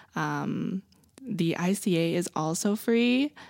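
An ordinary speaking voice with lively intonation comes through on a very clean recording with a silent background. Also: woman, dry, close sound with no echo. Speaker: college student. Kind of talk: casual chat.

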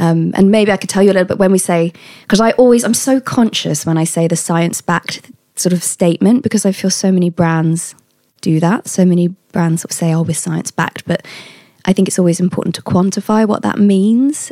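A woman with a British accent talks at a fairly quick pace in a medium pitch, with ordinary pitch variation and a dry, close sound with no echo. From Britain. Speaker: health supplement company founder. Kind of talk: interview. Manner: energetic.

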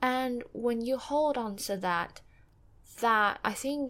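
A woman speaks at a fairly slow pace with a Mandarin accent. Her pitch varies in an ordinary way. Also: very clean recording, silent background. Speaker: book podcaster. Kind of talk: solo reflective monologue. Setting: home recording with background noise. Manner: hesitant, many fillers.

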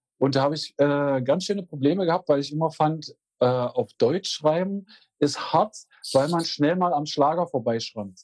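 A man talks in an ordinary speaking voice at a fairly high pitch and a moderate pace. His pitch varies normally, and the sound is dry and close with no echo. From Magdeburg, eastern Germany. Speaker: musician, singer. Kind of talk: interview.

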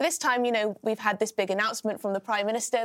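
The sound is dry and close, with no echo at all. An accent comes through, and it is British. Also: woman. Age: 20s. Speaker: political commentator. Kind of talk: casual chat.

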